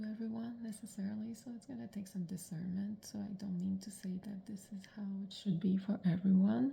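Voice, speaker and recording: The voice is quiet and the pace moderate. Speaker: personal vlogger on eating disorder recovery. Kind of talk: personal video diary monologue. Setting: at home in the morning. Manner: quiet, subdued.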